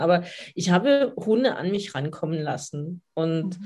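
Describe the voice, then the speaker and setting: A woman speaks at a fairly slow pace with a fairly low pitch, a normal speaking voice, over a quiet background. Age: 50s. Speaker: dog coach. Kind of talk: podcast interview.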